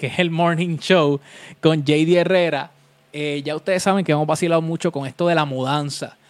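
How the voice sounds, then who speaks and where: A man talks at a fairly quick pace in a Puerto Rican accent. His pitch is fairly high and his intonation fairly even. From Puerto Rico (Vega Baja). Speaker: DJ and podcast host. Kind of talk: casual solo live-stream chat. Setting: home room live stream on webcam.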